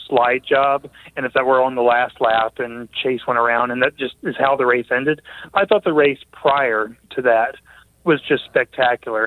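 A man with a plain, everyday voice speaks at a medium pitch and a moderate pace. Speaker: motorsports journalist.

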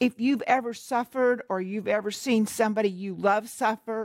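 Heard in a very clean recording with a silent background and a dry, close sound with no echo, a woman's fairly high-pitched, unremarkable speaking voice moves at a moderate pace. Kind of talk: televised Bible teaching discussion.

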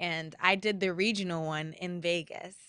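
With a Californian accent, a woman speaks in a bright, sharp tone with monotone, flat intonation. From La Habra, California. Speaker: singer and actress, guest co-host. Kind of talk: casual interview.

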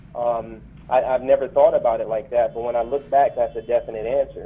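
With noticeable background noise behind him, a man with an American accent speaks at a fairly quick pace. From Flint, Michigan. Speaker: military veteran, conference founder. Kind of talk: interview.

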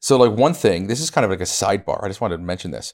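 Recorded very cleanly with a silent background, a man has an unremarkable speaking voice, fairly low in pitch, with ordinary pitch variation. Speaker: Bible show co-host. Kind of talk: casual chat.

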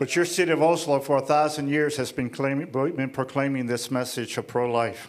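A man with an American accent speaks in a plain, everyday voice at a fairly quick pace with hardly any pauses, his fairly high pitch following fairly even intonation. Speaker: ministry leader. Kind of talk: speech with interpreter. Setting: stage with audience.

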